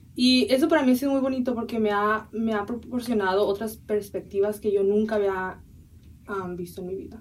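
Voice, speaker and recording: A woman speaks at a fairly high pitch and a fairly quick pace. Her pitch varies in an ordinary way. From San Diego border area, US, Mexican-American family. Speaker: university student. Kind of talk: interview.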